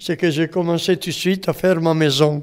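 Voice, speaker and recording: A man with an Italian accent speaks in a high voice with fairly even intonation. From Italy. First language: Italian (speaking French). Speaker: retired mason, retirement home resident. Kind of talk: oral history interview. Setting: retirement home.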